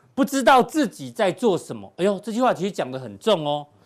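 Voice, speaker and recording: This man talks with a high pitch that swings very widely. He moves at a fairly quick pace. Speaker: TV finance show host. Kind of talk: casual panel talk show. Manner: animated.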